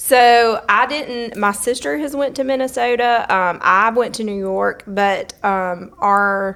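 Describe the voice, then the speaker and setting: A woman with a strong Southern US accent speaks at a very slow pace with hardly any pauses, her fairly high pitch showing ordinary variation. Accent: thick Southern drawl. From US South, Hartford, Alabama. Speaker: dental treatment coordinator. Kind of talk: interview. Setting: event venue in a church.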